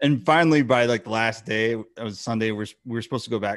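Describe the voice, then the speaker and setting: In an ordinary speaking voice, a man talks at a medium pitch against a quiet background. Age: 40s. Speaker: podcast co-host. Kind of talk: casual interview.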